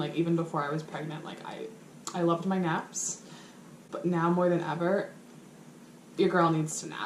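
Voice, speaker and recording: A woman speaks at a moderate pace with fairly low pitch and fairly even intonation, leaving long, frequent pauses amid audible room echo. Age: 20s. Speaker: vlogger. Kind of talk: casual vlog to camera. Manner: hesitant, many fillers.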